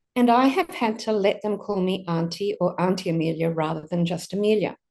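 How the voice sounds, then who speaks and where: A woman's medium-pitched voice with an Australian accent, moderate pace and ordinary pitch variation against a quiet background. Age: 60s. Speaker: pastor. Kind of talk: sermon.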